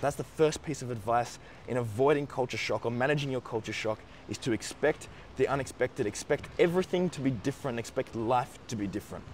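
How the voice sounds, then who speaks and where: Speaking very fast with an Australian accent, a man keeps a medium pitch and ordinary pitch variation. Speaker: YouTuber giving study-abroad advice. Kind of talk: advice monologue.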